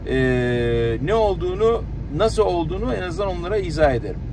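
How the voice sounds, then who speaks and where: The sound is dry with no echo, though noticeable background noise is present. A man speaks at a moderate pace. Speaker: car vlogger. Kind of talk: casual vlog chat. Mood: annoyed complaining about overheating. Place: car.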